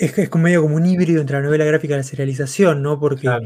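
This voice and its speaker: Here a man speaks with a fairly high, somewhat breathy voice. His intonation stays fairly even. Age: 30s. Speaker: comics podcast host. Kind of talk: casual chat. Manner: halting, many fillers and repetitions.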